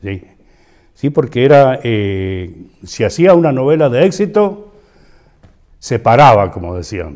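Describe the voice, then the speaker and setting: Speaking very slowly in a Cuyo Argentine accent, a man leaves long, frequent pauses, with very wide pitch swings and big swings in loudness. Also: medium pitch for a man. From San Juan, Argentina. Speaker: actor, radio host, announcer. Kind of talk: interview answer.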